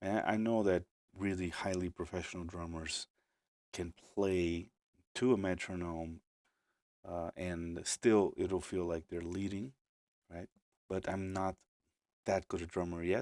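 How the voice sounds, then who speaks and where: With a Portuguese accent, a man speaks at a fairly slow pace in a very deep, low pitch and fairly even intonation, leaving long, frequent pauses, recorded dry and close with no echo, very clean against a silent background. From Brazil. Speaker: musician and producer. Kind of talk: live stream tutorial. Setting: home studio live stream. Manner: casual, hesitant with fillers.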